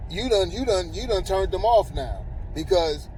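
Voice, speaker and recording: Recorded with audible room echo and noticeable background noise, a man talks at a moderate pace. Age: 40s. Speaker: vlogger. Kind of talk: casual monologue. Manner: stammering, repeats words; animated.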